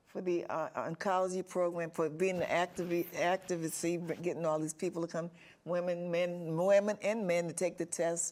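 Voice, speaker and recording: At a moderate pace, a woman speaks with a fairly low pitch and monotone, flat intonation. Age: 70s. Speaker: patient advocate and author. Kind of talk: interview. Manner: halting.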